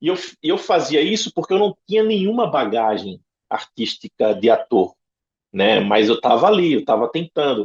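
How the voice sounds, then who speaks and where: A man's voice with lively intonation and a northeastern Brazilian accent. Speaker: actor. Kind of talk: interview answer.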